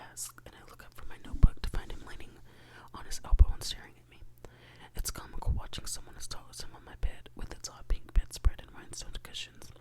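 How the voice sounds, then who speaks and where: Someone is whispering at a fairly quick pace over noticeable background noise. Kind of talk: ASMR bedtime reading of a novel. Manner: soft-spoken.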